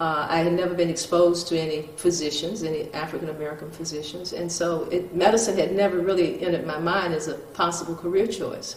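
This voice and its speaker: Speaking very fast with hardly any pauses, a woman holds a fairly low, monotone, flat pitch amid noticeable background noise and audible room echo. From US South, Mississippi. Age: 70s. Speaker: retired neurosurgeon. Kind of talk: interview. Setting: in her home. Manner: halting, many fillers.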